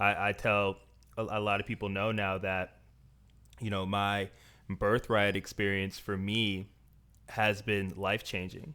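On a very clean recording with a silent background, a man speaks at a fairly low pitch in a bright, sharp tone. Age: 30s. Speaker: podcast host. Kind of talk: casual chat.

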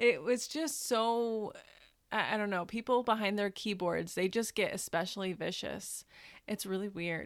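An unremarkable speaking voice from a woman with an American accent, medium pitch, ordinary pitch variation and moderate pace, on a very clean recording with a silent background. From US Midwest, Northern Indiana. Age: 20s. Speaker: law student and adoption advocate. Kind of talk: interview.

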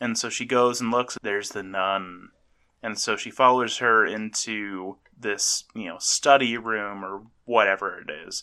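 Fairly slow and fairly low in pitch, a man with a plain, everyday voice keeps a fairly even intonation over a quiet background. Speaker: podcast host. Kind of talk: casual chat.

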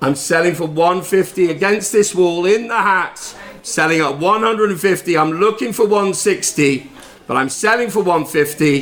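The voice moves at a very slow pace with ordinary pitch variation, against noticeable background noise. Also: man, high pitch for a man. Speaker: auctioneer and podcast host. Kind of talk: charity auction, live bidding patter. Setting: lifeboat station, live auction with audience. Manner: jovial, chatty.

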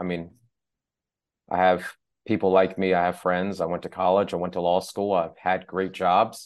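A man speaks in a very deep, low voice with flat, monotone intonation at a moderate pace. He leaves long, frequent pauses against a quiet background. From US South (Mississippi), born in Iran. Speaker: executive coach. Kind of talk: interview conversation.

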